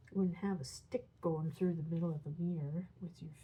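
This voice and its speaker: Somewhat breathy, a woman with a fairly low pitch speaks in a dark, mellow tone with ordinary pitch variation. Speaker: coloring hobbyist YouTuber. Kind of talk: casual tutorial narration while coloring. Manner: soft-spoken, hesitant with fillers.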